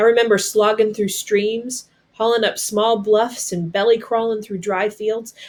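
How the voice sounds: A woman speaks at a fairly slow pace in a slightly mellow tone, her pitch moving little. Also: medium pitch for a woman.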